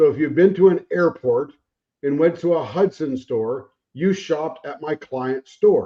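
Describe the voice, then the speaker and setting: A man with an American accent talks at a fairly slow pace in an unremarkable speaking voice, fairly high in pitch with ordinary pitch variation. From Arizona. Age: 60s. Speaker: navy veteran, account manager. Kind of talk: casual chat.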